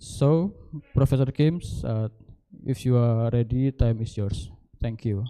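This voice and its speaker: At a fairly slow pace with long, frequent pauses, a man speaks in a medium pitch and a dark, mellow tone with ordinary pitch variation. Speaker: session moderator. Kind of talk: formal introduction. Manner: hesitant, frequent fillers.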